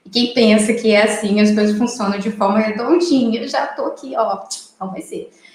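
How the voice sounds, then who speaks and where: A woman's fairly high voice with a strong Minas Gerais accent. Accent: Minas Gerais (mineiro) accent, strong. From Brazil, military family moving around, born Mato Grosso. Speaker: lawyer and mediator. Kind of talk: interview. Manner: talkative, many fillers.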